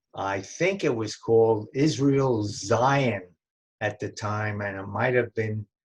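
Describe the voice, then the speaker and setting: Speaking very slowly in a New York accent, a man with a fairly low, somewhat breathy voice shows ordinary pitch variation over a quiet background. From New York City (Brooklyn, Bronx). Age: 90s. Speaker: family elder interviewee. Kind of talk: oral history interview. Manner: halting, many fillers and restarts.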